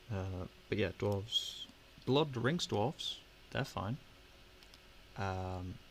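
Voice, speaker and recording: A man with a fairly low, somewhat breathy voice speaks with long, frequent pauses. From Britain. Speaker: miniature painting livestreamer. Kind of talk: casual livestream chat while painting. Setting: live stream with webcam. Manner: hesitant, filler-heavy.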